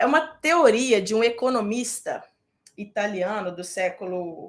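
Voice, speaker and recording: With a Minas Gerais accent, a woman speaks in an animated tone with lively intonation. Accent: Minas Gerais Brazilian. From Brazil, Minas Gerais. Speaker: medical residency exam prep teacher. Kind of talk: live online class. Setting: live stream with chat.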